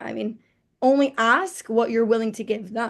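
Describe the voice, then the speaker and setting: A woman's ordinary speaking voice, fairly high in pitch, with an American accent at a moderate pace. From New Jersey, US. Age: 20s. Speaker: entrepreneur. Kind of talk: interview.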